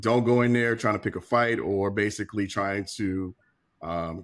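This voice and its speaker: A man talks in a plain, everyday voice, fairly low in pitch with fairly even intonation. The recording is very clean with a silent background. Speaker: podcast panelist. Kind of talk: casual group discussion.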